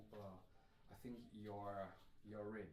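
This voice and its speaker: Audible room echo surrounds this man's voice. He speaks at a fairly slow pace. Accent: non-native. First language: not English. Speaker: musician and instrument demonstrator. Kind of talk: live stream tutorial. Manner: halting, many fillers.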